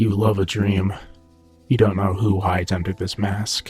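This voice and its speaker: Putting on a character voice, a man speaks at a moderate pace in a fairly low pitch with monotone, flat intonation while faint music plays in the background. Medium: read story. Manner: low, guarded.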